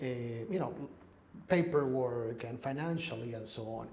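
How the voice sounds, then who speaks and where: With a Spanish accent, a man talks at a moderate pace and with ordinary pitch variation, and there is audible room echo along with noticeable background noise. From Ecuador. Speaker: real estate investor. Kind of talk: interview. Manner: halting.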